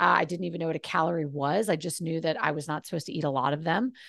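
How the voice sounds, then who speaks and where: A woman speaks at a fairly low pitch with vocal fry, over a quiet background. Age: 40s. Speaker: mind and body coach. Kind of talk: casual chat. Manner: animated.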